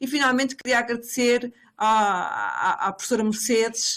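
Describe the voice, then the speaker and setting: On a very clean recording with a silent background, a woman with a fairly high pitch talks at a moderate pace with fairly even intonation. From Portugal. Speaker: professor. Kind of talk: academic presentation. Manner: halting, many fillers and repetitions.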